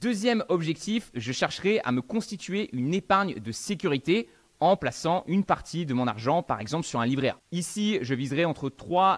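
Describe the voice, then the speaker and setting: A man speaks with very wide swings in pitch and hardly any pauses. The background is quiet. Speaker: finance educator. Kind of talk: tutorial. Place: home room. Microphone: studio mic.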